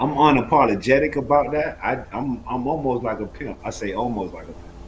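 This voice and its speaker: A man's medium-pitched voice at a fairly quick pace, with ordinary pitch variation, big swings in loudness and noticeable background noise. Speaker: trading educator. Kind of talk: live trading Q&A stream. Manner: fast.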